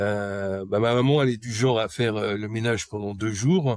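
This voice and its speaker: A man talks at a moderate pace, his fairly low pitch carrying fairly even intonation. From Paris region, France. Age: 40s. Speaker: person recovering from hoarding disorder. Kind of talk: personal testimony interview. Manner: halting, frequent hesitations.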